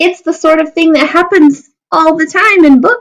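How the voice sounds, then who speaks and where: A woman's squeaky put-on character voice, extremely high in pitch, at a moderate pace with ordinary pitch variation and very even loudness. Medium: read story.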